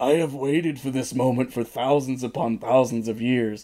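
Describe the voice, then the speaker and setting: A put-on character voice, raspy and growling, delivered at a moderate pace. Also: man, medium pitch for a man. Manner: growling, menacing.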